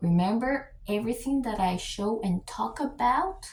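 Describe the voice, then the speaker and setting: A woman with a Spanish accent has a dark, mellow tone that is somewhat breathy. Her intonation is lively. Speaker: YouTube commentator. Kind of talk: reaction commentary. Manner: hesitant with fillers.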